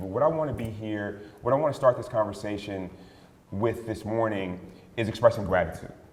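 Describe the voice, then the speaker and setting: Speech at a very fast pace in an American accent comes through noticeable background noise and audible room echo. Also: man. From West Philadelphia. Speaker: panel moderator and advocate. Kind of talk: panel moderation.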